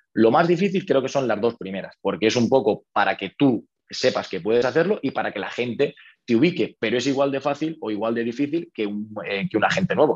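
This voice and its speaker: A man talks very rapidly, his mid-range voice full of lively intonation. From Spain, Toledo. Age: 30s. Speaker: real estate investor. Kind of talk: interview.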